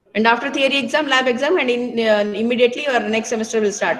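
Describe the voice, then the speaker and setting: Fairly high in pitch, a woman talks at a fairly quick pace with ordinary pitch variation. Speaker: college lecturer. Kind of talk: online class talk to students. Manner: hesitant with fillers; raised, scolding.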